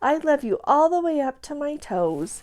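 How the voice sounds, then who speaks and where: A woman's high-pitched, put-on character voice. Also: moderate pace. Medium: read story.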